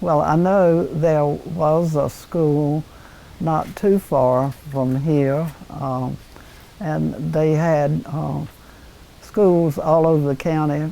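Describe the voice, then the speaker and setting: In a North Carolina accent, a woman speaks at a very slow pace, her pitch very deep and low and her intonation fairly even. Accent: Southern American (North Carolina). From Red Oak, North Carolina. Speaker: former town mayor. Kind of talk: oral history interview answer.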